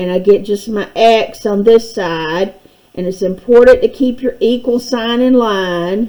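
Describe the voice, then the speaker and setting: A woman speaks in a normal speaking voice at a fairly high pitch. Her pace is fairly slow, with ordinary pitch variation. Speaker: math teacher. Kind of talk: tutorial.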